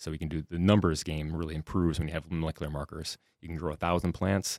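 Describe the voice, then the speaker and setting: A man with a Minnesota accent, very fast and flat in a monotone, his pitch very deep and low, on a very clean recording with a silent background and a dry, close sound with no echo. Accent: Upper Midwest (Minnesota) American. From southwest Minnesota. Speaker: soybean breeding professor. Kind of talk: interview.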